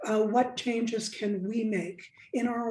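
The voice has a dark, mellow tone and is somewhat breathy. It moves at a fairly slow pace with fairly even intonation. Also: woman. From Alaska, Nome. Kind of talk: radio interview.

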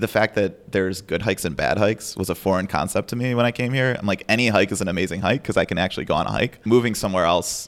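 A man with an American accent at a very fast pace, ordinary in pitch variation, on a very clean recording with a silent background. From Chicago. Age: 20s. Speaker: law clerk. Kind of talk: interview. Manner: hesitant, frequent fillers.

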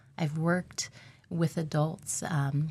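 This woman's voice is very deep and low in pitch, dark and mellow in tone, somewhat breathy, with fairly even intonation. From Alaska. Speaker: occupational therapist. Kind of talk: radio interview.

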